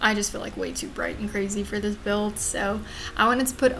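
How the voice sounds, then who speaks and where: A woman with an American accent speaks in a fairly high voice with fairly even intonation, over noticeable background noise and audible room echo. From US South, Louisiana. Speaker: gaming YouTuber. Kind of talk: voiceover commentary on a speed build. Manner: casual, with fillers.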